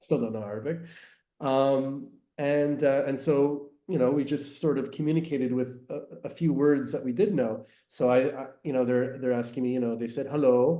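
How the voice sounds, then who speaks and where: A man's fairly high, dark and mellow voice with a Canadian accent, fairly even intonation, a moderate pace and audible room echo. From Canada, English-speaking Montreal. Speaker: tour guide and business owner. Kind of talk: podcast interview. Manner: hesitant with many fillers.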